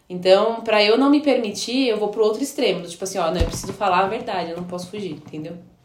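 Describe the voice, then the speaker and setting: A woman at a fairly quick pace, with ordinary pitch variation and audible room echo. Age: 20s. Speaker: biology teacher and pastor's wife. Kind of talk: casual chat. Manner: halting.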